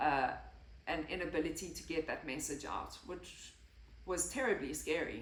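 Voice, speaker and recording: With audible room echo, a woman speaks at a moderate pace in a very deep, low pitch with ordinary pitch variation. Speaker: health and lifestyle vlogger. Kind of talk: personal testimony. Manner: occasional stutter and word-finding pauses.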